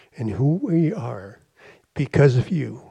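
This man talks at a very slow pace. His voice is somewhat breathy, with a dark, mellow tone. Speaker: church member. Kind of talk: prayer. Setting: church with congregation. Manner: unprepared, improvised.

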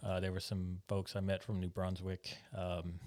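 A man with an American accent speaks at a fairly slow pace in a very deep, low pitch, recorded very cleanly against a silent background. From United States. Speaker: missionary pastor. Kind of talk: casual chat. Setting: studio.

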